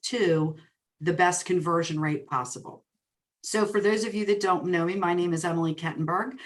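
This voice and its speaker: At a moderate pace, a woman talks with a New Jersey accent. Her pitch is fairly low. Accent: New Jersey twang. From New Jersey, greater Princeton area. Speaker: real estate coach and speaker. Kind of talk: webinar presentation. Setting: online webinar. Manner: animated.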